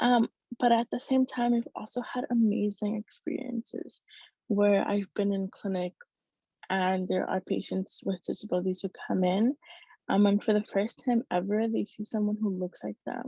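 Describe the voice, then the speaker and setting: A woman with a Spanish accent, somewhat breathy, dark and mellow in tone, medium in pitch with fairly even intonation at a moderate pace, in a dry, close sound with no echo over a quiet background. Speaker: medical student. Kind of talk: speech. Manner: halting.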